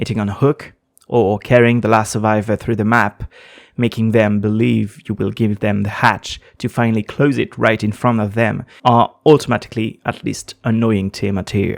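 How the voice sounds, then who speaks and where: A man with a non-native accent speaks at a moderate pace in a fairly low voice with fairly even intonation, on a very clean recording with a silent background and a dry, close sound with no echo. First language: not English. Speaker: gaming video essayist. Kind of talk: scripted narration.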